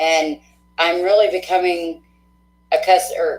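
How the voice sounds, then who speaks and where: The speech has an Oklahoma accent and a fairly slow pace. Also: woman. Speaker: tarot reader. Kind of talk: live-stream tarot reading.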